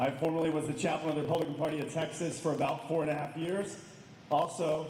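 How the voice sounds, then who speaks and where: Through noticeable background noise and audible room echo, a man speaks very fast at a fairly high pitch. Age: 50s. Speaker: political candidate. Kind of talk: campaign speech.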